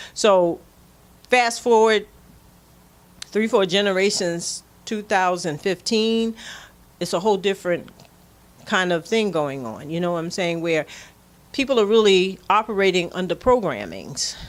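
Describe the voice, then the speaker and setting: At a fairly slow pace, a woman talks at a medium pitch with ordinary pitch variation. She leaves long, frequent pauses. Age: 60s. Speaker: community elder speaker. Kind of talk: casual conversation. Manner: halting with repetitions.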